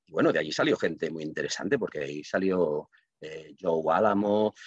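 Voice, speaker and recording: Ordinary pitch variation in a man's very deep, low voice. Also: dry, close sound with no echo. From Catalonia, Reus. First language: Catalan (speaking Spanish). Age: 50s. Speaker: writer and librarian. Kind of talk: podcast interview.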